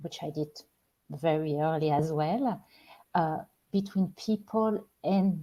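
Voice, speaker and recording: The voice is somewhat breathy, with a dark, mellow tone and a French accent. It moves at a very slow pace in a very clean recording with a silent background. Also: woman. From France. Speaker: spiritual life coach. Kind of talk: live-stream talk show monologue. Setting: live stream. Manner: halting, with many repeated words and fillers.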